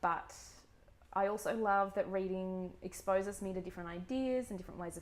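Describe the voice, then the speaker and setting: A woman speaks at a moderate pace and a medium pitch. She talks with an Australian accent. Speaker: book vlogger. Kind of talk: casual vlog monologue. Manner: hesitant, many fillers.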